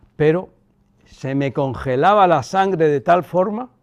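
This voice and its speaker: A man speaks at a fairly slow pace in a fairly high pitch. His pitch variation is ordinary. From Cuba. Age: 60s. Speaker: son of a former head of state. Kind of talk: interview. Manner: reflective.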